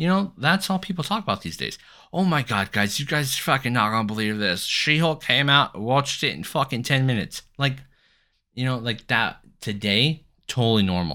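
In a very clean recording with a silent background, a man at medium pitch swings his voice very widely up and down, his tone bright and sharp. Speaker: podcast host. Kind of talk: casual solo podcast monologue. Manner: fast talker.

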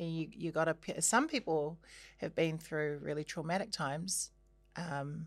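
A woman with vocal fry speaks at a very deep, low pitch and a moderate pace, her intonation fairly even, on a very clean recording with a silent background. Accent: New Zealand. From New Zealand, Christchurch. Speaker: singer and actor. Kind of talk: casual chat.

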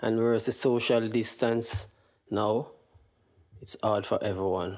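A man's medium-pitched, monotone and flat voice in a Jamaican accent, at a fairly slow pace with long, frequent pauses. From Jamaica, Kingston. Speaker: guest from Jamaica. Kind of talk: casual chat.

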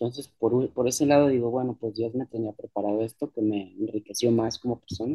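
In a dry, close sound with no echo, a man with a medium pitch and a dark, mellow tone talks at a fairly quick pace with fairly even intonation and hardly any pauses. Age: 40s. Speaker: musician. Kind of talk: interview.

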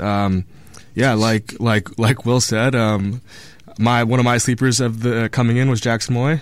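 A man with an unremarkable speaking voice talks at a moderate pace, his intonation fairly even. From northern California. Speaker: student sports fan. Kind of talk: casual sports talk. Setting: radio studio.

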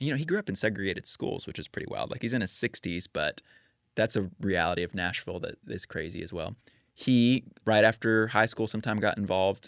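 At a fairly quick pace, a man speaks in an ordinary speaking voice with ordinary pitch variation in a very clean recording with a silent background. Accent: American. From Texas, suburb of Houston. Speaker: neighbor, ministry worker. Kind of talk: casual interview.

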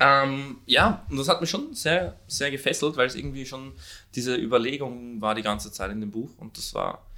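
Over a very clean recording with a silent background, a man speaks at a moderate pace in a medium pitch, his tone bright and sharp. His loudness swings widely while his pitch varies in an ordinary way. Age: 20s. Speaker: podcast co-host. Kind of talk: casual chat. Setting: at home, recording in an apartment.

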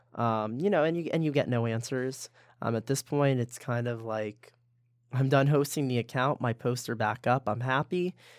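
A man with a plain, everyday voice, medium pitch and ordinary pitch variation, at a moderate pace, in a dry, close sound with no echo and a very clean recording over a silent background. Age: 20s. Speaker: university student leader. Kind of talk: casual interview.

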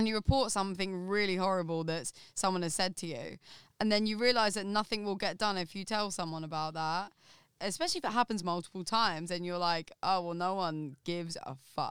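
A woman with an Essex accent talks at a fairly quick pace and medium pitch with ordinary pitch variation. The recording is very clean, with a silent background. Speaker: podcast guest, studio worker. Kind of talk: casual chat. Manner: animated.

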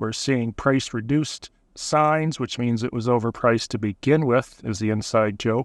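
A man with an Ontario accent talks with ordinary pitch variation. The sound is dry and close with no echo, over a quiet background. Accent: Canadian (Ontario). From Southern Ontario, Canada. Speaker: real estate agent and podcast host. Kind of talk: casual interview chat. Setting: in a parked truck on the waterfront.

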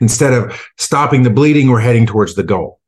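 There's a somewhat breathy quality to this man's voice. He talks at a medium pitch in an American accent. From United States. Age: 50s. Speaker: gulf war veteran and leadership coach. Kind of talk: interview. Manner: halting, repeated words.

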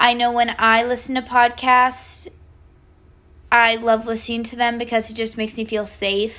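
A woman's fairly high voice with fairly even intonation, on a very clean recording with a silent background. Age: 20s. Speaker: podcast host, university student. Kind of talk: casual monologue.

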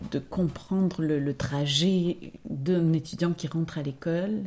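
Speaking at a fairly low pitch, a woman has a dark, mellow tone. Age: 50s. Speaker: dancer and choreographer. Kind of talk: interview. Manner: halting.

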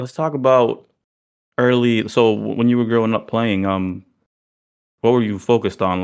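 Moderate-paced, medium-pitched speech from a man, its pitch varying in an ordinary way. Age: 30s. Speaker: basketball podcast co-host. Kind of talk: casual chat.

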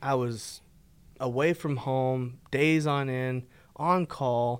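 A man with an American accent, fairly high-pitched, at a very slow pace with ordinary pitch variation, on a very clean recording with a silent background. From Texas, Fort Worth. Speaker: podcast co-host. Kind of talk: casual chat.

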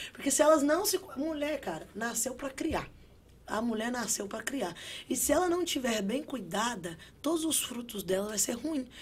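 In a high voice, a woman speaks at a moderate pace while her pitch swings very widely. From Brazil. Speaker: construction worker and social media influencer. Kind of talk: casual interview. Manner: animated.

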